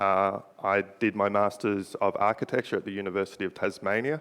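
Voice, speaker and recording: A man with an Australian accent and a fairly low pitch speaks against a quiet background. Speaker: robotics researcher. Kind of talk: presentation. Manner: halting.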